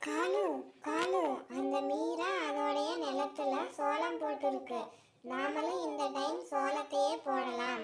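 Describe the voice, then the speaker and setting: A cartoonish character voice at a fairly high pitch and a very slow pace, with audible echo. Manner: sly, nosy.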